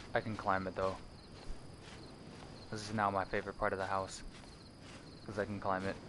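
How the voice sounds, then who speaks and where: A man with a fairly low pitch and a bright, sharp tone talks at a fairly quick pace in a flat monotone, leaving long, frequent pauses. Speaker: video game streamer. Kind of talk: live gameplay stream. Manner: casual, filler-heavy with frequent swearing; raised, adjusted higher streamer voice. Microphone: too quiet at first, moved closer to mic.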